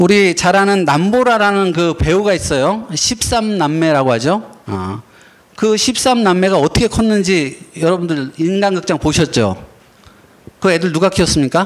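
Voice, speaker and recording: A man with a high pitch speaks at a fairly slow pace with ordinary pitch variation, and background noise is noticeable. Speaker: pastor and lecturer. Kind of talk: lecture. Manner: halting.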